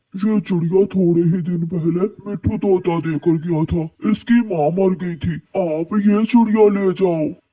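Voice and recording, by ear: In a cartoonish character voice, the speaker goes at a fairly slow pace with hardly any pauses. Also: man, high pitch for a man.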